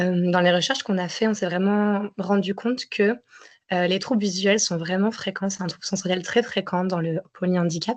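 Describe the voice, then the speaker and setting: This woman speaks at medium pitch with monotone, flat intonation. Her pace is moderate. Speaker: psychomotor therapist. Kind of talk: webinar presentation. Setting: webinar.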